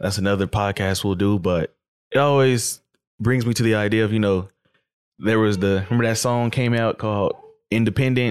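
An ordinary speaking voice: a man at fairly low pitch, fairly quick in pace, with very even loudness and fairly even intonation. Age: 20s. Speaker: podcast host. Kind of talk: casual chat.

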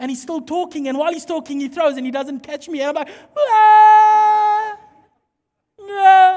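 A man with a South African accent and an extremely high pitch, animated in tone, fairly slow, with big swings in loudness. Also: lively intonation. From South Africa, Mpumalanga. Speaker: pastor. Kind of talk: sermon.

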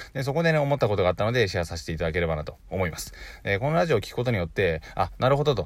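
A man talks at a very fast pace with a fairly low pitch. His somewhat breathy voice makes very wide pitch swings. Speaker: online business podcaster. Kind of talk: solo podcast talk. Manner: stumbles over words often.

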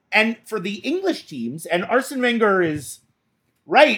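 A man's raised, projected voice with a bright, sharp tone, very wide pitch swings and a moderate pace on a very clean recording with a silent background. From Boston. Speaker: podcast co-host. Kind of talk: casual chat.

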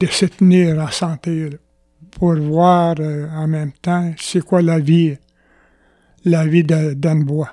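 At a very slow pace, a man with a Quebec accent talks in a high pitch and a dark, mellow tone, the sound dry and close with no echo. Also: very clean recording, silent background. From Quebec, Atikamekw community of Opitciwan. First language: Atikamekw (speaking French). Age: 70s. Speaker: former chief and elder. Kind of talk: interview. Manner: halting.

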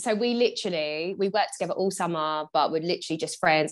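A woman's fairly low voice in a southern English accent, very fast, with ordinary pitch variation, in a very clean recording with a silent background. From England, Bedfordshire. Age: 20s. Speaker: business mentor and mum. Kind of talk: casual chat.

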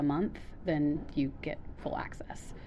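The woman talks at a fairly slow pace. Her voice carries audible room echo. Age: 30s. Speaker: theater stage manager. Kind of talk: casual chat. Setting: in a theater.

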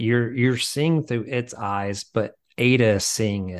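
Against a quiet background, a man with an American accent speaks fairly slowly in an unremarkable speaking voice, medium in pitch with fairly even intonation. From US South, small town. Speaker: film writer-director. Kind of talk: casual interview chat.

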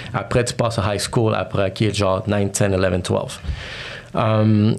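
A man speaks fairly slowly while noticeable background noise carries on behind him. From Montreal, Quebec (childhood partly in New York). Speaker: entrepreneur and podcast host. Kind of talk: casual interview chat.

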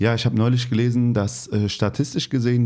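Speaking with a slight Hessian accent, a man has a medium pitch and a dark, mellow tone. His intonation stays fairly even. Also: very clean recording, silent background. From Hesse, Turkish-German family. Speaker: podcast host. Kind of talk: interview.

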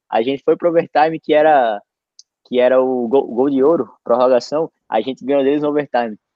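Speaking at a fairly quick pace, a man uses a fairly high pitch. His intonation stays fairly even. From Natal, northeastern Brazil. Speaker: podcast host, former college soccer player. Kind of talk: casual chat. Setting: video call livestream.

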